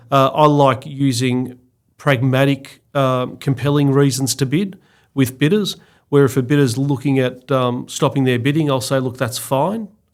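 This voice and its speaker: On a very clean recording with a silent background, a man with an Australian accent speaks at medium pitch and a moderate pace, his intonation fairly even. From Victoria, Australia (Mornington Peninsula). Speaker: auctioneer and real estate executive. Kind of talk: interview.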